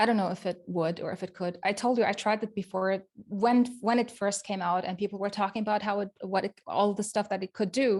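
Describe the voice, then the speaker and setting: Speaking at a fairly quick pace with hardly any pauses, a woman uses a medium pitch. She has a non-native accent and fairly even intonation. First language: not English. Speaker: web developer and accessibility expert. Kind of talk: casual interview chat. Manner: halting, repeats words.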